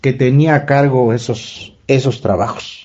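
A man at a very slow pace. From Oaxaca, Mexico. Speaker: community member. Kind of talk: recorded testimony. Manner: formal.

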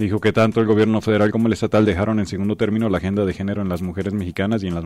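A man talks at a very fast pace. His voice is fairly low in pitch, with a dark, mellow tone. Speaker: radio co-host. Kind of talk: radio news and analysis show. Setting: radio studio.

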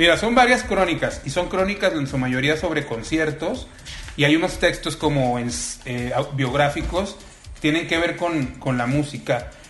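A man's fairly high-pitched voice with lively intonation at a moderate pace, amid noticeable background noise and audible room echo. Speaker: writer. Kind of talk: casual chat.

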